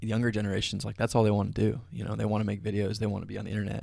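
A man with an American accent speaks in a flat monotone at a fairly low pitch, his voice showing vocal fry on a very clean recording with a silent background. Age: 20s. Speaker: filmmaker and content creator. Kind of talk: casual chat.

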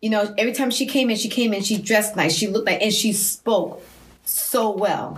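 A woman with a fairly high pitch, a normal speaking voice, an American accent, fairly even intonation and a fairly quick pace. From Massachusetts, US. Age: 50s. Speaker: mother, guest.

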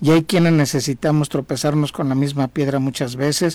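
This man has a dark, mellow tone and a fairly high pitch. His pitch variation is ordinary. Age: 60s. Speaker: civil engineer and former thanatology student. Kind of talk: radio interview testimony.

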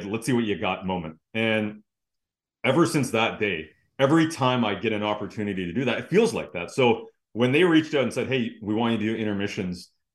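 Here a man speaks in a plain, everyday voice, pitched fairly low. His pace is fairly quick and his intonation lively. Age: 30s. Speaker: hockey analyst and broadcaster. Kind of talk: casual interview chat.

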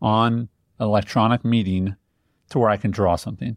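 An unremarkable speaking voice with an American accent keeps a fairly even intonation against a quiet background. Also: man. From Indiana, US Midwest. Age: 40s. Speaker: business coach, podcast guest. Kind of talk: podcast conversation.

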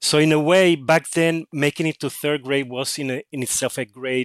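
A man with a Spanish accent talks at a fairly slow pace. The recording is very clean, with a silent background and a dry, close sound with no echo. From Puerto Rico. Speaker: author. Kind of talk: interview. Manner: halting.

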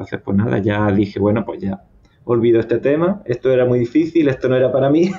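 A man talks at a fairly quick pace with lively intonation. He has an ordinary speaking voice at a medium pitch. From southern Spain (Andalusia, Cazorla). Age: 30s. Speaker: civil engineer, visa lottery winner. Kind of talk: personal testimony interview.

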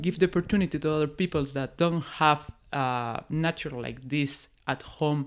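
On a very clean recording with a silent background, a woman with a Peruvian accent speaks fairly slowly at a very deep, low pitch with ordinary pitch variation. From Peru, Oxapampa region. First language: Spanish. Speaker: forest scientist. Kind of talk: casual interview.

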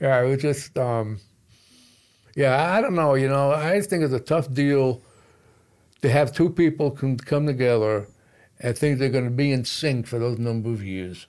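A man with a New York accent speaks with long, frequent pauses. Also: medium pitch for a man, ordinary pitch variation, moderate pace, very clean recording, silent background. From New York City. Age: 70s. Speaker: military veteran and jiu-jitsu student. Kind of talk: casual chat.

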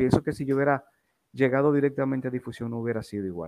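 A man speaks with ordinary pitch variation. The sound is dry and close, with no echo. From Dominican Republic, Santo Domingo. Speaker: former Red Cross rescuer. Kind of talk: interview. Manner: halting, repeats words.

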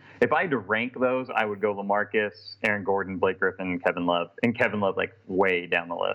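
This man has an unremarkable speaking voice with an American accent, a fairly low pitch and fairly even intonation, moving at a fairly quick pace with hardly any pauses. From Portland, Oregon. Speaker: sports fan, T-shirt artist. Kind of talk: casual chat. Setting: video call.

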